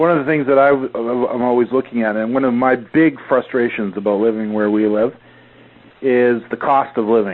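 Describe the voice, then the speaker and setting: An unremarkable speaking voice, a man with a Canadian accent at medium pitch, moderate pace and fairly even intonation. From Canada. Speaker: podcast host, affiliate marketer. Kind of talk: casual interview chat.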